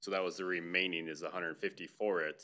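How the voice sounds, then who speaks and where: At a moderate pace, a man with a very deep, low pitch talks in a bright, sharp tone with monotone, flat intonation. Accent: American. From US Midwest. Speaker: public works director. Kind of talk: council meeting discussion. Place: meeting room.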